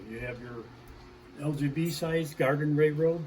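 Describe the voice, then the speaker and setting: A fairly high-pitched man with an American accent and ordinary pitch variation, amid noticeable background noise and audible room echo. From US Midwest, Chicago. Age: 80s+. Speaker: hobbyist model railroader. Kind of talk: casual guided tour narration. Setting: home garage. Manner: animated.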